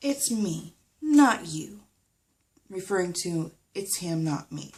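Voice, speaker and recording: A woman speaks at a very slow pace in a somewhat breathy voice. Her medium pitch swings very widely. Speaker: vlogger. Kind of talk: personal vlog update. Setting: recording at home. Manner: halting.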